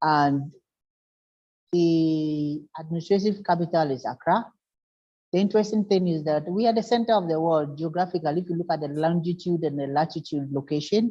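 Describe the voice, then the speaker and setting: A woman's dark, mellow, fairly low voice at a fairly quick pace, with ordinary pitch variation. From Ghana. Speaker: conference speaker on urban flooding. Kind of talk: presentation. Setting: video call. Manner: halting, with fillers.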